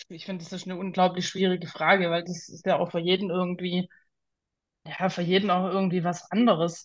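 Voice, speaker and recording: A woman's fairly low, somewhat breathy voice at a moderate pace, flat and monotone, with long, frequent pauses. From Swabia, southern Germany. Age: 30s. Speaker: artist. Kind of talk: interview.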